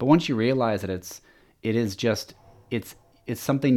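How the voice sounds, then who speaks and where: On a very clean recording with a silent background, a man with a Pacific Northwest accent speaks in a dark, mellow tone at medium pitch. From US Pacific Northwest (Washington). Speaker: sales manager. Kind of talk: casual interview. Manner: animated; halting.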